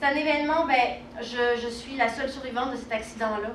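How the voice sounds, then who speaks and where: A woman speaks with fairly even intonation, and the clip has noticeable background noise and audible room echo. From southern France, Côte d'Azur. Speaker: relationship coach and speaker. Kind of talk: conference talk. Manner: hesitant, many fillers.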